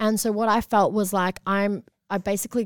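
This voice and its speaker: A woman with an Australian accent talks at a fairly quick pace and medium pitch. Her intonation is fairly even, on a very clean recording with a silent background. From Australia, Melbourne south-east suburbs. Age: 20s. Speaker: author and mental health advocate. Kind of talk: casual interview chat.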